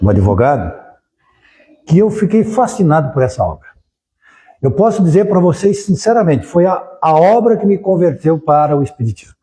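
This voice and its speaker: With long, frequent pauses, a man speaks at a moderate pace in a high pitch with a dark, mellow tone, his pitch swinging very widely while his loudness stays very even. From southern Brazil, Criciúma (Santa Catarina). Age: 70s. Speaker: spiritist lecturer, lawyer. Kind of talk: public lecture.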